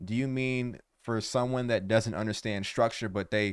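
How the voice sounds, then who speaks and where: With an American accent, a man speaks at a moderate pace in a medium pitch with ordinary pitch variation, on a very clean recording with a silent background. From United States. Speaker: music reaction youtuber. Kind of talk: casual reaction commentary. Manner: halting, many repetitions.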